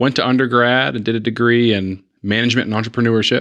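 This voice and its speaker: A man with a Southern US accent talks at a fairly quick pace against a quiet background. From East Tennessee (Chattanooga). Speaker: hospital executive. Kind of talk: interview. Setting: studio.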